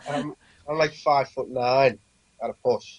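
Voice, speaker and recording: A man speaks in a Lancashire accent. His intonation is fairly even. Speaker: band vocalist. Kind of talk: interview. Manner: halting.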